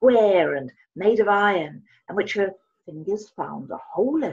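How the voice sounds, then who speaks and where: A woman's fairly slow voice with vocal fry, over a quiet background. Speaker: presenter. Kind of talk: reading aloud from a novel. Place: home room.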